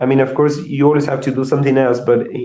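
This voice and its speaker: A man with a Spanish accent has a dark, mellow tone. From Argentina. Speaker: software engineer. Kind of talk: interview. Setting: live video show. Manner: halting, many fillers and repetitions.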